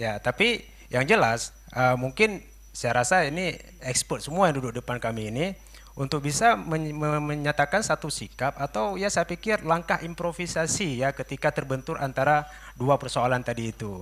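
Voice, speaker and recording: An ordinary speaking voice with lively intonation at a moderate pace. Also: man, fairly high pitch for a man. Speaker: audience member asking a question. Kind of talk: question from the floor at a seminar. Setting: seminar hall.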